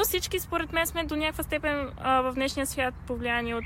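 A woman talks at a moderate pace in a high pitch, with ordinary pitch variation. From Bulgaria. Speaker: podcast host. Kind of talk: casual chat. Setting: outdoors in a park.

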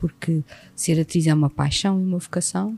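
A woman with a somewhat breathy, dark, mellow tone talks at a fairly low pitch and moderate pace, with ordinary pitch variation. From Portugal, Setúbal. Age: 50s. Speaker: actress and acting teacher. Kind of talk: casual interview. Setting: recorded at a school.

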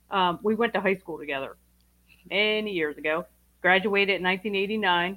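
Using ordinary pitch variation at a medium pitch, a woman talks in a plain, everyday voice. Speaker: guest, partner of other guest.

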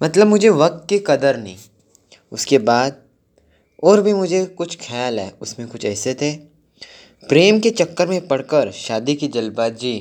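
A fairly high male voice with very wide pitch swings, big swings in loudness and long, frequent pauses. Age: 20s. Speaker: student vlogger. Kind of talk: personal reflection monologue. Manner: halting.

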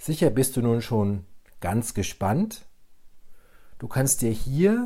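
A very slow man's voice, medium in pitch, dark and mellow, with lively intonation. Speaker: transformation coach, podcast host. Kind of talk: solo podcast talk on mindfulness; guided meditation. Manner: calm, measured.

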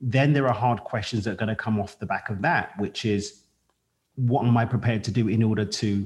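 Somewhat breathy, a man with a London accent talks at a fairly quick pace and medium pitch, his pitch moving in an ordinary way. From East London, England. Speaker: podcast host. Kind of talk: interview conversation.

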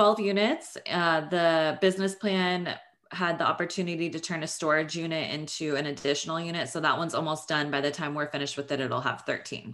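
In an American accent, a woman with an unremarkable speaking voice talks fairly quickly at a fairly low pitch, her intonation fairly even. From Northern California. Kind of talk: interview.

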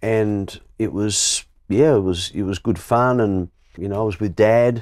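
A man's fairly low, dark, mellow voice with an Australian accent, on a very clean recording with a silent background. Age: 60s. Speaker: sports broadcaster. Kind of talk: interview. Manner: halting, repetitive starts.

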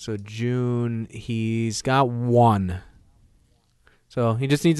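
A man of medium pitch with an American accent and fairly even intonation. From Minnesota. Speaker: baseball podcast co-host, Cubs fan. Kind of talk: casual sports debate. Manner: halting, many fillers.

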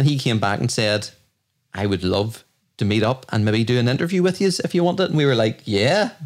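At a fairly quick pace, a man speaks at medium pitch with very wide pitch swings and very even loudness. The recording is very clean, with a silent background. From Ireland. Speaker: podcast host. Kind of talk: casual chat.

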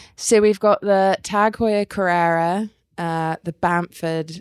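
Recorded very cleanly against a silent background, a woman talks at a very slow pace with an English accent. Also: dry, close sound with no echo. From England. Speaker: podcast co-host. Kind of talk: casual chat.

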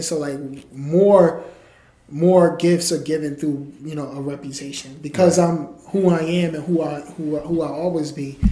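With a New York accent, a man speaks at a moderate pace in a fairly high, monotone voice with flat intonation, his loudness swinging widely. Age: 30s. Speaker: entrepreneur and author. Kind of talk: interview.

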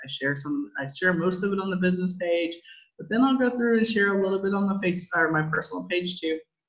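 With an American accent, a woman talks at a very fast pace in a medium, somewhat breathy voice with lively intonation. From Southern California. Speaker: insurance agency owner. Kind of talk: interview.

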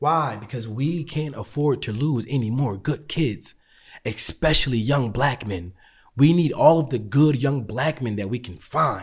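A somewhat breathy man at a medium pitch, with fairly slow pacing, ordinary pitch variation, and a very clean recording with a silent background. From US. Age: 20s. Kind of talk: interview conversation.

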